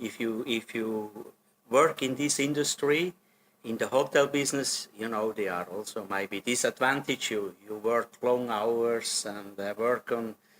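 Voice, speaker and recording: At a medium pitch, a man talks at a fairly slow pace with ordinary pitch variation. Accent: Swiss German. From German-speaking Switzerland, Solothurn. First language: Swiss German. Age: 60s. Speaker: hotel general manager. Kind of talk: interview. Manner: hesitant, with many fillers.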